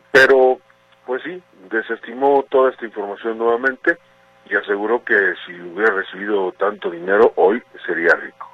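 Over noticeable background noise, a man at medium pitch speaks at a moderate pace with lively intonation and big swings in loudness. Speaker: political correspondent. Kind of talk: news report.

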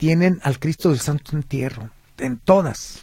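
A man speaks fairly slowly in a fairly high voice with ordinary pitch variation. Noticeable background noise is present. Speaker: historian and cultural tour guide. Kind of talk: radio interview.

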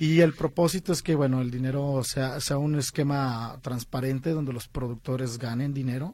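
A man at medium pitch, somewhat breathy, with fairly even intonation and a moderate pace. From Guadalajara, Mexico. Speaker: film director and producer. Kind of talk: interview.

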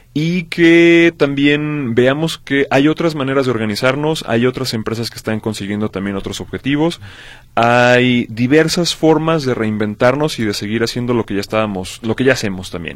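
A man with an ordinary speaking voice talks at a moderate pace. His pitch is medium, with ordinary variation. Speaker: radio host. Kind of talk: radio talk show.

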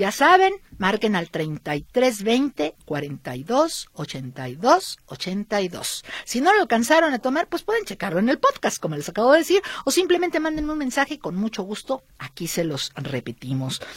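An animated woman's voice, fairly high in pitch with very wide pitch swings, at a fairly slow pace. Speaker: radio host. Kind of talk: radio show chat.

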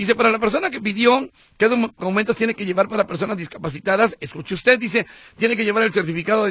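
A man talks at a very fast pace in a raised, projected voice, high-pitched with a bright, sharp tone and a dry, close sound with no echo. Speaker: radio host. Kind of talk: call-in radio show. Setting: radio studio.

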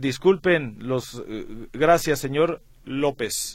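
This man talks at a very slow pace with lively intonation. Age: 40s. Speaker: sports radio host. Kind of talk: sports radio talk show.

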